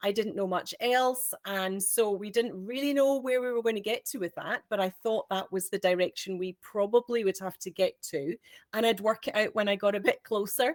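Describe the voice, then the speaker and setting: In a Scottish accent, a woman with a fairly high pitch and ordinary pitch variation speaks at a moderate pace with hardly any pauses, the sound dry and close with no echo. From Scotland. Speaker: homeschooling parent. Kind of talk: panel discussion.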